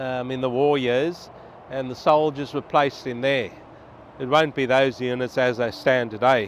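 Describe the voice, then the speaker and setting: A man speaks in an Australian accent at a moderate pace. His pitch is medium and his intonation fairly even. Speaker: travel vlogger. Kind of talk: vlog walkthrough. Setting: outdoors on a freeway overpass. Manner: loud.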